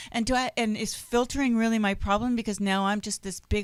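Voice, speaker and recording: A woman speaks in an animated tone against noticeable background noise. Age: 50s. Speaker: online radio talk show host. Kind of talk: casual chat. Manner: loud.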